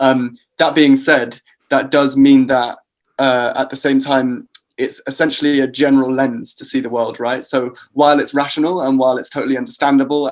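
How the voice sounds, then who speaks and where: A man at medium pitch with a British accent, a moderate pace and monotone, flat intonation. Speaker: psychology researcher. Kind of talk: podcast interview. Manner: hesitant with fillers.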